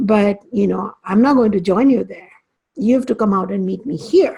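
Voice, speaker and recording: This woman's voice has a dark, mellow tone, is somewhat breathy, and sits at a medium pitch. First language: Hindi or Sanskrit. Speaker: spiritual teacher. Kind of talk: lecture. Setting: class. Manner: halting.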